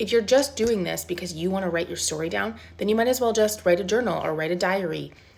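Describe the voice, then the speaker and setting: Speech rushes along at a very fast pace with lively intonation. Noticeable background noise can be heard. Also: woman. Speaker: self-publishing coach. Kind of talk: casual pep-talk to camera. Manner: conversational, informal.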